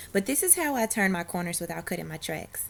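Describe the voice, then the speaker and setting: Over music in the background, a woman speaks at medium pitch with a Southern US accent. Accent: Southern US country. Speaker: hairstylist. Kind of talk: hair tutorial talk to camera. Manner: casual, friendly.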